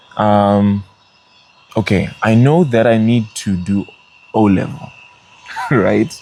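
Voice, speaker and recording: A man's fairly low voice at a very slow pace, with ordinary pitch variation, long, frequent pauses, and noticeable background noise. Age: 30s. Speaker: worship leader and recording artist. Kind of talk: interview. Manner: casual, with many fillers.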